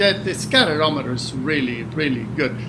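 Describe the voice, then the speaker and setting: With audible room echo and noticeable background noise, a man speaks at a fairly high pitch with lively intonation. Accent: Spanish. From Cuba. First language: Spanish. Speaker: retired hurricane forecaster. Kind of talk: interview conversation.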